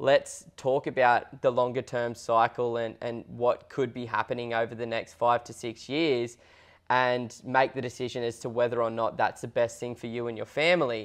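The speaker has an Australian accent and a monotone, flat intonation at a moderate pace. The background is quiet. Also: man, medium pitch for a man. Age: 20s. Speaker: property investment podcast co-host, buyer's agent; property investment podcast co-host. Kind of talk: casual chat. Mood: relaxed, earnest. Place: studio. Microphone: lapel.

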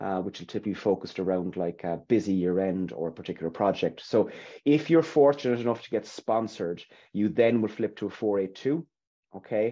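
A man with an Irish accent talks at a fairly quick pace in a fairly low pitch with lively intonation. His tone is dark and mellow, and the background is quiet. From Ireland. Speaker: recruitment consultant. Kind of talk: webinar interview. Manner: hesitant, repetitive. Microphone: webcam.

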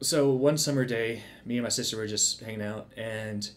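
A man at a moderate pace, with fairly even intonation. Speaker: video creator. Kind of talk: casual commentary intro. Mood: relaxed, smiling. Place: home room.

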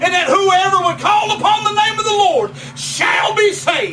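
A man with an American accent speaks in a raised, projected voice. His pitch varies in an ordinary way, and there is noticeable background noise. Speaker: preacher. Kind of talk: revival sermon. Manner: fervent, emphatic.

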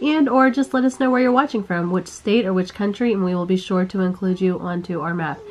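Over noticeable background noise, a woman with a medium pitch talks at a fairly quick pace with lively intonation and hardly any pauses. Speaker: family vlogger. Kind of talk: casual vlog talk.

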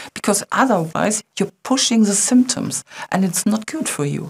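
A woman speaks with a German accent and lively intonation. Her voice is somewhat breathy. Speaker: company webinar co-host. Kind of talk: webinar presentation. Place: studio.

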